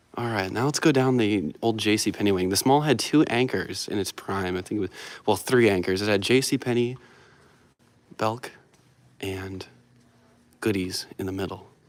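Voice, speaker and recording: On a very clean recording with a silent background, a man speaks quietly in a fairly low pitch with an enthusiastic tone, ordinary pitch variation, a moderate pace and long, frequent pauses. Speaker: vlogger exploring dead malls. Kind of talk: live stream walkthrough. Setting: indoors in a quiet empty mall. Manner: casual, enthusiastic; quiet, keeping voice down.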